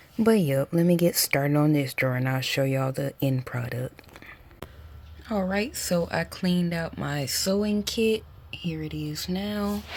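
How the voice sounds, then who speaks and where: Over noticeable background noise, the speaker talks at a fairly slow pace. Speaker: lifestyle vlogger. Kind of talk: casual vlog narration.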